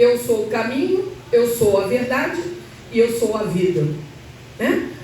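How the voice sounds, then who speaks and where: With very wide pitch swings, the speaker talks at a very slow pace amid noticeable background noise and audible room echo. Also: woman. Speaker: church speaker. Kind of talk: sermon. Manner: halting, self-correcting.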